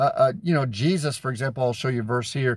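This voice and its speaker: A man speaks at medium pitch in a somewhat breathy voice. The sound is dry with no echo, and the background is quiet. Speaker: street preacher. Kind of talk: sermon-style teaching with Bible verses. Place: car. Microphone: phone near.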